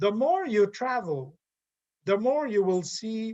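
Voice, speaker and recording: Speaking very slowly with a French Canadian accent, a man delivers his words with lively intonation. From Quebec. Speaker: professor. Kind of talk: lecture. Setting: video call.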